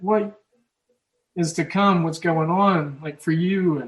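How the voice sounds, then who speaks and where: A man speaks with an American accent. His pitch is high, with ordinary variation. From Oklahoma, US Midwest. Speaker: sports betting podcast host. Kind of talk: casual chat. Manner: halting.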